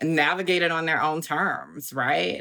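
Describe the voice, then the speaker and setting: A woman with an American accent talks at a moderate pace in a very clean recording with a silent background. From US South, Augusta, Georgia. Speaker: activist and writer. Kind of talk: interview.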